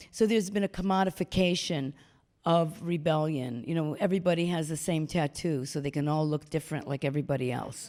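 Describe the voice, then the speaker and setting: A woman with a New York accent, very deep and low in pitch, dark and mellow in tone, at a fairly quick pace with ordinary pitch variation. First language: not English. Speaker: performance artist. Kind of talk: onstage interview. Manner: animated.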